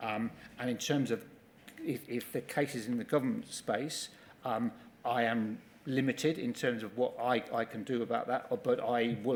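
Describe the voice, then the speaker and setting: A man talks with monotone, flat intonation. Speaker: company executive giving evidence. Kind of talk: witness testimony at public inquiry. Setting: public inquiry hearing room. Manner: fast; halting, many repetitions.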